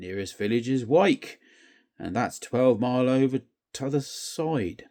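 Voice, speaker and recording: A man's put-on, growling character voice at medium pitch, fairly slow and with lively intonation, on a very clean recording with a silent background. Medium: read story. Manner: growling, sulky.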